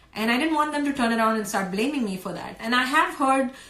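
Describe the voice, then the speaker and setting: There is noticeable background noise while a woman talks, her intonation lively. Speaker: homeschooling mother and blogger. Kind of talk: live stream talk. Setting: live video stream. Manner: hesitant, many fillers.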